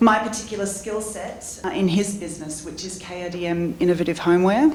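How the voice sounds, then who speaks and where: A woman speaks at a medium pitch and moderate pace in an Australian accent, her intonation fairly even. Audible room echo and noticeable background noise come through. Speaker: entrepreneur and business coach. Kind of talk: conference panel talk.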